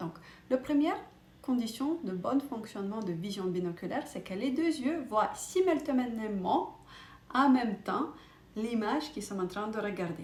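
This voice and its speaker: Speaking with a non-native accent, a woman swings her fairly high pitch very widely while keeping a fairly slow pace. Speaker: optician, vision educator. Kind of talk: educational talk to camera. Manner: hesitant, with fillers.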